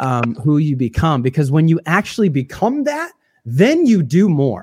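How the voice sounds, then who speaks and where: A man with an American accent, fairly high pitch, lively intonation, a somewhat breathy quality and a moderate pace. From US Midwest, Illinois. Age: 30s. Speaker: worship leader. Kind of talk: casual chat. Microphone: borrowed studio mic recording from home.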